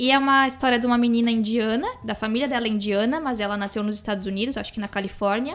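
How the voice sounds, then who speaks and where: A woman talks at a very fast pace with fairly high pitch and fairly even intonation. Music plays in the background. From interior of São Paulo state, Brazil. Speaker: podcast co-host. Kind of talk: casual chat.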